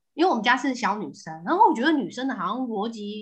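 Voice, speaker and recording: A woman talking at a very fast pace, her intonation lively. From southern Taiwan. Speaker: housewife and mother. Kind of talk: casual chat. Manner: animated.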